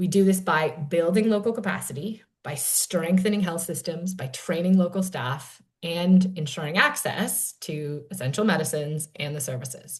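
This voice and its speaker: At a moderate pace with hardly any pauses, a somewhat breathy voice speaks with ordinary pitch variation. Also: woman, fairly low pitch for a woman. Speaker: panel moderator, nonprofit program director. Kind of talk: panel discussion introduction.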